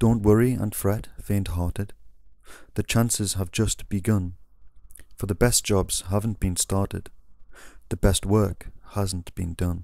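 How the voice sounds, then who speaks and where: Speaking at a fairly slow pace with long, frequent pauses, a man with a dark, mellow tone and fairly low pitch keeps a flat, monotone intonation in a very clean recording with a silent background. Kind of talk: poetry reading.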